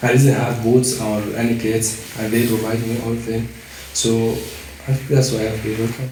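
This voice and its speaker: A man with a Syrian accent speaks at a medium pitch and fairly slow pace in a monotone, flat intonation. Noticeable background noise and audible room echo fill the recording. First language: Arabic. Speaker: amateur footballer. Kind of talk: interview.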